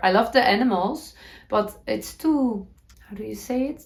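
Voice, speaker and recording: A woman speaks with a Dutch accent. Her pitch varies in an ordinary way at a moderate pace. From Netherlands. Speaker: knitting podcaster. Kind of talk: casual talk to camera.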